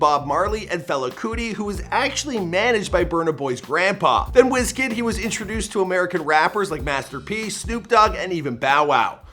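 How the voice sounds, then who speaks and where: The speaker, in a Canadian accent, moves at a fairly quick pace with very wide pitch swings while music plays in the background. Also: man. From Canada. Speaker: YouTube biography narrator. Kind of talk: narrated biography video. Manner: casual, conversational.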